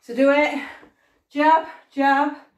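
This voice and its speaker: A woman's voice with audible room echo and a quiet background. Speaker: fitness instructor. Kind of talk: workout coaching cues. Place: home room. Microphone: camera far.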